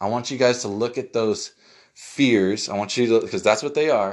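The recording is very clean, with a silent background. A man speaks at a moderate pace in a medium pitch with lively intonation. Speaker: life coach podcaster. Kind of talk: motivational pep talk. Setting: solo podcast recording. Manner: earnest, urgent, encouraging; repetitive, emphatic.

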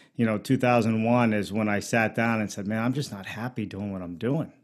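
This man has a medium-pitched voice with an American accent and fairly even intonation, an ordinary speaking voice. The recording is very clean, with a silent background. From Pittsburgh, Pennsylvania. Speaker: modular home builder. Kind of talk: interview.

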